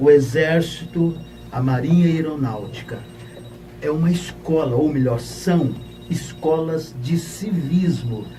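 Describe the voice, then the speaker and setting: A man's voice with ordinary pitch variation, audible room echo and noticeable background noise. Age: 60s. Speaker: pastor and retired army officer. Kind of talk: audience question. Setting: radio studio.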